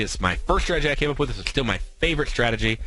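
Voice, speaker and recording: Audible room echo surrounds the recording. A man speaks with a bright, sharp tone. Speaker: radio trading show host. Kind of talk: trading tutorial on radio. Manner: fast.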